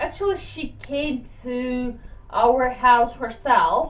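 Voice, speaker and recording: In a Russian accent, a high-voiced woman speaks at a very slow pace over noticeable background noise. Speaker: YouTuber. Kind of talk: casual vlog talk.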